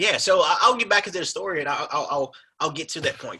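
A man talks at a fast pace, raspy with a slightly husky edge. His tone is bright and sharp.

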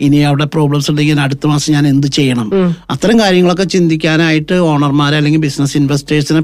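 Here a man has a normal speaking voice at a fairly high pitch. His intonation is fairly even. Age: 50s. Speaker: accounting firm managing director. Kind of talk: radio interview.

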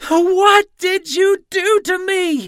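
A put-on character voice, shrill and extremely high in pitch. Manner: screeching, shrill, horrified.

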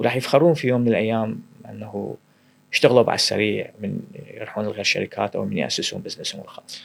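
Fairly quick speech from a man, loudness swinging widely. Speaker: startup founder and CEO. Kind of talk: interview conversation.

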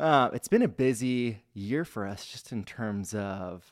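This man has a fairly low pitch and an energetic tone. The recording is very clean, with a silent background. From US Pacific Northwest (Spokane, Washington). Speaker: credit union marketing director. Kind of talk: casual interview chat.

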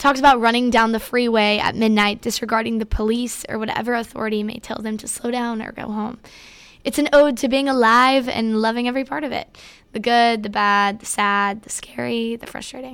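Against a silent background on a very clean recording, a woman with a fairly high pitch speaks fairly quickly, her intonation fairly even but her loudness swinging widely. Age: young. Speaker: podcast host. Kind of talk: music commentary podcast.

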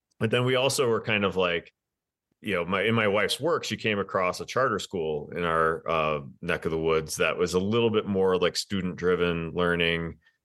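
In an American accent, a man talks at a moderate pace, his very deep, low voice showing ordinary pitch variation. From Wisconsin. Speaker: writer and parenting blogger. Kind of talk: casual interview chat.

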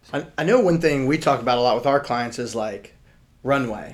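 A man's medium-pitched, ordinary speaking voice with an American accent and fairly even intonation. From Richmond, Virginia. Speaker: podcast co-host, real estate agent. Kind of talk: casual chat.

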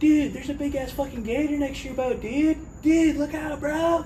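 Against clear background noise, someone performs a put-on character voice at a moderate pace. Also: man, extremely high pitch for a man. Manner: urgent, shouting.

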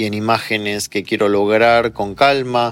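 A man with an unremarkable speaking voice, fairly low in pitch, at a moderate pace with fairly even intonation. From Argentina. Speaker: psychologist and meditation teacher. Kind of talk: interview.

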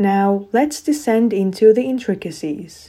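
With a normal speaking voice, a woman talks at a fairly slow pace, her fairly high pitch carried by lively intonation. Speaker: podcast host. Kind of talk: dramatic scripted narration. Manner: theatrical, suspenseful, hushed intrigue.

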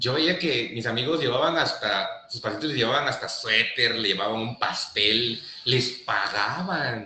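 This man has a plain, everyday voice at medium pitch. He speaks at a fairly slow pace with lively intonation. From southern Mexico, Oaxaca coast (Pochutla). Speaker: endodontist. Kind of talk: casual interview.

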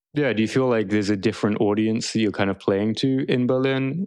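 A plain, everyday voice at a fairly quick pace, with fairly even intonation against a quiet background. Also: man. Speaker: podcast co-host. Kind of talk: casual interview.

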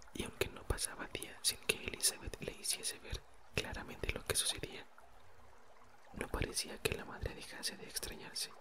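A whisper at a moderate pace. Background noise is noticeable. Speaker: audiobook narrator. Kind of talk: whispered ASMR reading aloud of a novel. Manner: even, gentle narration, voicing dialogue lightly.

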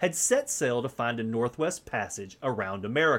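An unremarkable speaking voice, this man's sits at a medium pitch and moves at a moderate pace with lively intonation. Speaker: podcast host. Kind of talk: solo podcast intro, then history documentary narration. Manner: measured, steady storyteller pace, formal and earnest.

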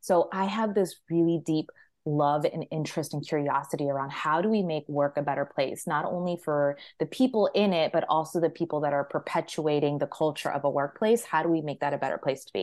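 Very deep, low-pitched woman's voice with an American accent, a fairly quick pace and ordinary pitch variation. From Maryland, US. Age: 30s. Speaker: leadership and career coach. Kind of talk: podcast interview. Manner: animated.

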